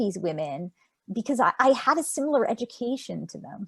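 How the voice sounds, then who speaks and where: A woman's voice with a Montreal accent and vocal fry, very wide pitch swings, a fairly quick pace and a dry, close sound with no echo. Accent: Canadian English, Montreal. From Canada, Montreal. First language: Yiddish. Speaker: author. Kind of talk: interview. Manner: halting.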